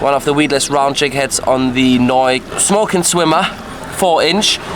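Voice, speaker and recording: A man with a German accent speaks fairly slowly in a fairly high voice, keeping his loudness very even. His pitch varies in an ordinary way over noticeable background noise. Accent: German, self-described. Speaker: fishing video host. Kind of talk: casual on-location fishing chat.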